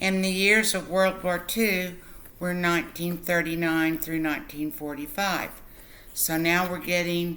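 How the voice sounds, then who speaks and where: Through audible room echo, a speaker with an American accent delivers fairly even intonation in a bright, sharp tone at a fairly slow pace. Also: woman. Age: 60s. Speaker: literacy tutor. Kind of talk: tutorial. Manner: slow and clear, repeating answers.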